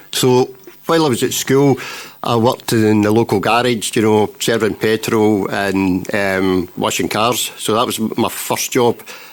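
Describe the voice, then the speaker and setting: Fairly slow, very even in loudness, a man with a west of Scotland accent, fairly low pitch and fairly even intonation. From Scotland, Renfrewshire (Elderslie). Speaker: council chief executive. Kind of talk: interview.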